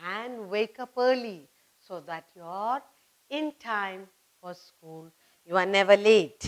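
Here a woman speaks at a very slow pace. Her loudness swings widely. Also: ordinary pitch variation. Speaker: teacher. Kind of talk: lesson for children. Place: studio.

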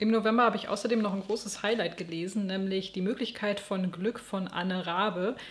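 The speech moves at a fairly quick pace with hardly any pauses. Its intonation stays fairly even. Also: woman. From West Germany. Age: 30s. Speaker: book YouTuber. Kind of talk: book review monologue.

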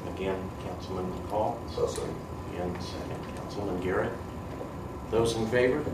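Over loud background noise, a man talks at a moderate pace with long, frequent pauses. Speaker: city council president. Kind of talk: formal meeting. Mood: proud, formal. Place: meeting room. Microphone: podium.

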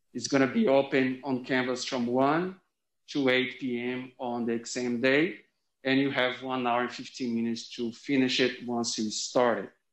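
Audible room echo surrounds speech at a moderate pace with monotone, flat intonation. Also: man. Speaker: university instructor. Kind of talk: lecture. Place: classroom.

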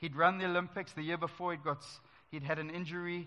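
Fairly high in pitch, a man talks at a fairly quick pace in a bright, sharp tone. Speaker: preacher. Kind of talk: church sermon. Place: church.

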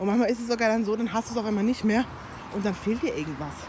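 A woman's voice over noticeable background noise. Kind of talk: casual talk to camera. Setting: outdoors. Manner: chatty.

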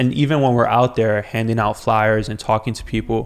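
Over a quiet background, a man talks in a monotone with flat intonation. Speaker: podcast guest. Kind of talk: interview answer. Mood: earnest, engaged. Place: studio. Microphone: studio mic.

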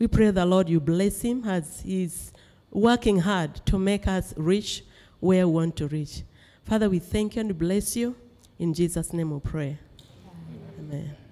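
A woman talks at a fairly slow pace with ordinary pitch variation. Her tone is dark and mellow. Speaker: PhD student. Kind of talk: prayer and discussion. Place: classroom.

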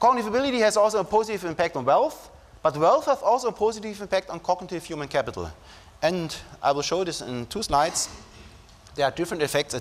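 A man with a German accent talks at a very fast pace and a high pitch, with very wide pitch swings. Light background noise can be heard. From Germany. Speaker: psychologist and professor giving a talk. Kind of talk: academic lecture. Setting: conference stage with audience. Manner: formal, hesitant with fillers. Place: hall.

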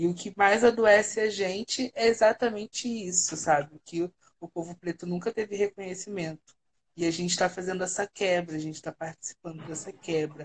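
Her voice is a plain, everyday voice, as this woman speaks at medium pitch and a moderate pace with ordinary pitch variation. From Brazil, Rio de Janeiro (Baixada Fluminense); Rio de Janeiro, Brazil. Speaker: international relations writer; radio guest. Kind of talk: casual chat. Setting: online livestream call. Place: home room. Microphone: video call.

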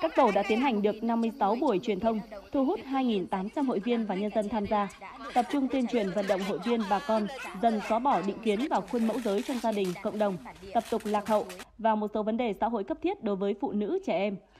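Noticeable background noise sits under a woman speaking at a fairly quick pace. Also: fairly high pitch for a woman, ordinary pitch variation. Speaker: news reader. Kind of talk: news reading.

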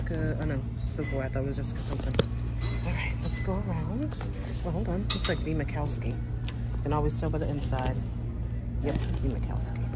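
With music in the background, the words come at a fairly quick pace. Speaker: shopping vlogger. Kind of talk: casual vlog chat. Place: shop. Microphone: phone near.

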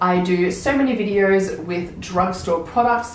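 Fairly low-pitched and fairly slow, a woman speaks with audible room echo around her.

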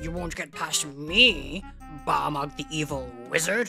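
The speaker uses a put-on character voice at a middle pitch and a fairly slow pace. Faint music plays in the background. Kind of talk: comic dub.

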